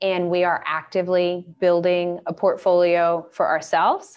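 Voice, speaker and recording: A woman talks with an American accent at a fairly slow pace. Hers is an unremarkable speaking voice with a fairly low pitch. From US South, Atlanta, Georgia. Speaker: real estate investment advisor. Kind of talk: webinar presentation.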